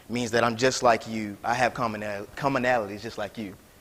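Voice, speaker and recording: A man speaks with an American accent. His pitch is medium. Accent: slight Southern twang, comes and goes. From South Carolina. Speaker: graduate student lecturer. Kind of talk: lecture. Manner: casual, conversational.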